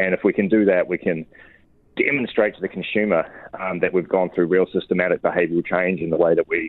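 A very deep, low-pitched man with a New Zealand accent at a very fast pace. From New Zealand, Wellington. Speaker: orchard owner. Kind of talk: interview.

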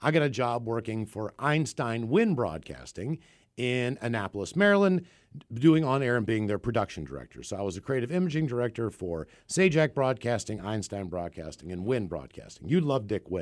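This man talks at a moderate pace with an American accent and very wide pitch swings. The recording is very clean, with a silent background. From West Virginia (Morgantown). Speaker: radio host, podcast co-host. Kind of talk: casual chat.

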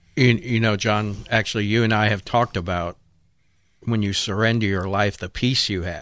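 A plain, everyday voice from a man, fairly low in pitch, at a moderate pace with fairly even intonation. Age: 50s. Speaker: recovery mission staff and fill-in radio host. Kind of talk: casual radio talk. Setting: radio studio.

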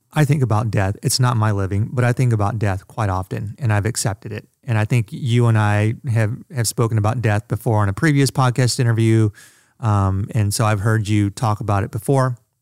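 A man with a normal speaking voice talks at a fairly quick pace with hardly any pauses, using fairly even intonation and a fairly low pitch, in a dry, close sound with no echo on a very clean recording with a silent background. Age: 40s. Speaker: podcast producer. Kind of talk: casual chat.

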